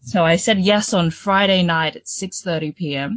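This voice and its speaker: Somewhat breathy, a woman talks with an Australian accent. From Sydney, Australia (born in the Philippines). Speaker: showgirl competition finalist and youth leader. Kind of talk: interview.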